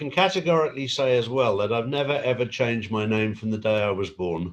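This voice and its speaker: Talking at a very fast pace, a man keeps a medium pitch with lively intonation. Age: 60s. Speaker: conspiracy influencer interviewee. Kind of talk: interview. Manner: halting.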